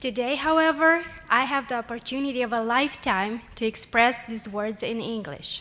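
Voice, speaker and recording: A woman speaks in a high voice with a bright, sharp tone. Her pace is moderate. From Moldova. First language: Romanian. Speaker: nursing student. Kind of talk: prepared speech. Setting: at a lectern.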